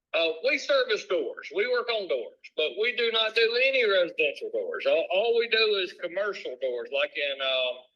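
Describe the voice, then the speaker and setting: With a Southern US accent, the speaker keeps a moderate pace with hardly any pauses. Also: man. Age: 60s. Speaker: business owner. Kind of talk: sales call. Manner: casual.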